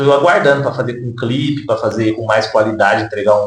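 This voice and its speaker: Audible room echo surrounds a man speaking at a moderate pace in a medium pitch. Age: 20s. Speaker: social worker and rapper. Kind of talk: interview. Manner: hesitant with fillers.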